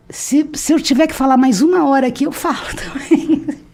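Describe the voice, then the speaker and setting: This woman's voice has a dark, mellow tone. It comes across somewhat breathy. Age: 60s. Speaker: retired history professor and publisher. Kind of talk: interview conversation. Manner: talkative, nonstop; halting, repeats words.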